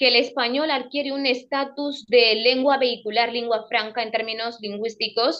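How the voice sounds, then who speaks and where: This woman has a high pitch and fairly even intonation, speaking at a moderate pace. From Equatorial Guinea. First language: Fang (speaking Spanish). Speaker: radio presenter and cultural advocate. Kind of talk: interview.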